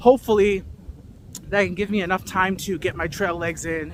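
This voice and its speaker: A man with an American accent talks at a moderate pace and a high pitch, with ordinary pitch variation. Noticeable background noise can be heard. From US Midwest, Chicago. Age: 30s. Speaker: vlogger, military veteran. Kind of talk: vlog monologue. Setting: outdoors on a training hike. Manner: casual, with fillers.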